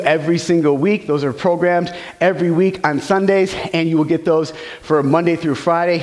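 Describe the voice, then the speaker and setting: A man with a high pitch. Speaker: fitness trainer. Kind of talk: workout tutorial. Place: gym.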